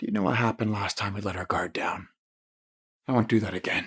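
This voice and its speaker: A man puts on a character voice that is raspy and fairly low. He races along at a very fast pace. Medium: voice reel. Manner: clipped, authoritative.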